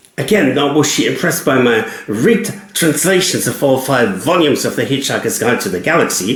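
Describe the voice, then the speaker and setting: Over noticeable background noise and audible room echo, a man with a fairly high voice talks at a fairly quick pace, with very wide pitch swings and hardly any pauses. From Germany. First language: German. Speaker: cab driver and writer. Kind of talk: personal storytelling monologue.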